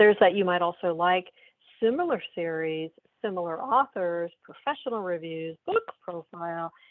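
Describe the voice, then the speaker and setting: A woman speaks in a normal speaking voice, fairly low in pitch. Her pace is moderate, with ordinary pitch variation. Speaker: software sales demonstrator. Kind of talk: product demo.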